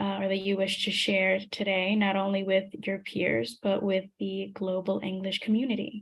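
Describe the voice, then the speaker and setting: A woman with a normal speaking voice talks at a medium pitch with hardly any pauses. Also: ordinary pitch variation, moderate pace. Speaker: online course facilitator. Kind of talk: video call moderation.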